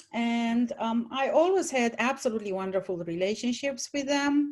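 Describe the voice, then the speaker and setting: A woman with a Romanian accent speaks at a fairly slow pace and fairly high pitch. The background is quiet. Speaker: retired college English teacher, panelist. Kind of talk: panel talk, personal story.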